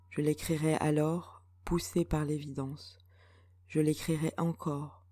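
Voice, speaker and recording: A woman's very deep, low voice, somewhat breathy and calm in tone, at a very slow pace. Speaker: poet. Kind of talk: poetry reading.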